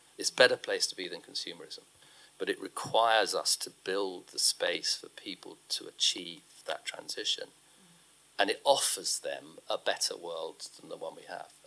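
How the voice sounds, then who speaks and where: A man speaks at a moderate pace, his loudness swinging widely from moment to moment. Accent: British. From UK. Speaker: ecological economist and author. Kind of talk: live onstage conversation. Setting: stage with audience.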